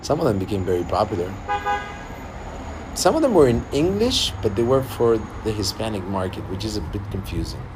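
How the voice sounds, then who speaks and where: Against noticeable background noise and audible room echo, a man speaks at a fairly quick pace. His pitch is fairly low, and he leaves long, frequent pauses. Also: lively intonation. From Argentina. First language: Spanish. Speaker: singer-songwriter. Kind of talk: livestream casual chat. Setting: livestream. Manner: halting.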